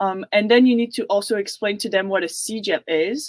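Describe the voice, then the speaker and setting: At a fairly slow pace and medium pitch, a woman with a Quebec accent speaks with ordinary pitch variation in a dry, close sound with no echo. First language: French. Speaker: university student. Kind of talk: panel Q&A answer. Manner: hesitant, many fillers.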